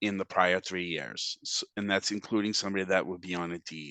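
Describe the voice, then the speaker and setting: In a Boston accent, the speaker has a bright, sharp tone, recorded with a dry, close sound with no echo against a quiet background. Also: man. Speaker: housing finance agency representative. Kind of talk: webinar presentation. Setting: webinar. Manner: casual with frequent fillers.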